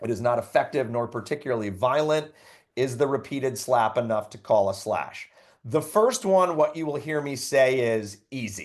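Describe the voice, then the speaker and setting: Against a quiet background, a man with an ordinary speaking voice and medium pitch talks at a moderate pace with ordinary pitch variation. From New York. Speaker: lacrosse referee trainer. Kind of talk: training session. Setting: video call.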